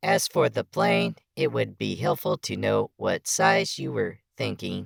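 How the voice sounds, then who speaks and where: In a put-on, robotic character voice, the speaker talks at a fairly slow pace. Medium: audio drama. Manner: precise, measured, dry wit.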